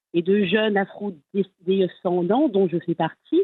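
A woman speaks at a very slow pace. Her medium pitch shows ordinary pitch variation. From Strasbourg, Alsace, France. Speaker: association vice-president. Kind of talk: interview. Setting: remote link from Strasbourg.

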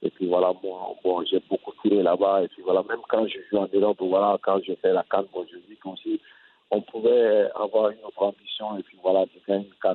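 Talking at a fairly quick pace, a man shows big swings in loudness. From Mali. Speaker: retired footballer and coach. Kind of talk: interview. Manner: halting.

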